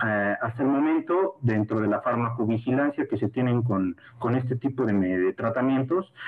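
A man with ordinary pitch variation keeps a moderate pace as noticeable background noise runs underneath. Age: 30s. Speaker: sports medicine doctor. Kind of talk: lecture. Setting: video call. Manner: halting.

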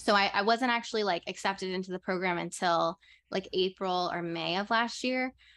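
Recorded dry and close with no echo, a woman with a plain, everyday voice and an American accent speaks fairly quickly at a medium pitch with ordinary pitch variation. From New Orleans, US South. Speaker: podcast co-host, graduate student. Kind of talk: casual chat.

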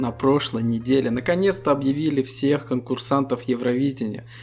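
Here a man speaks in a plain, everyday voice at a moderate pace and medium pitch, his intonation fairly even. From Estonia. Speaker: podcast co-host. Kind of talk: casual chat.

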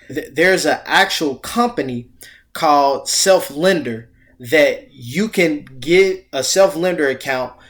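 Speaking at a very slow pace with lively intonation, a man is heard in a very clean recording with a silent background. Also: fairly high pitch for a man. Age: 30s. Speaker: financial coach. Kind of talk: casual chat.

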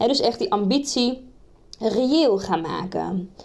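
A woman speaks at a fairly slow pace in a high pitch, her intonation lively. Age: 20s. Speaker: career coach podcaster. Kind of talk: solo podcast monologue with tips. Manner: casual, with many fillers.

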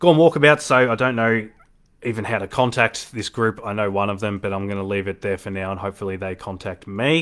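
In an Australian accent, a man speaks at a very fast pace with a fairly low pitch. The recording is very clean, with a silent background. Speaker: darts podcast host. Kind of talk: casual solo commentary. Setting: live stream. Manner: animated.

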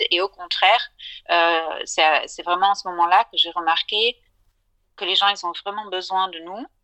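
A woman's bright, sharp, medium-pitched voice at a fairly slow pace, in a dry, close sound with no echo. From southern France. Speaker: financial advisor. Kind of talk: interview.

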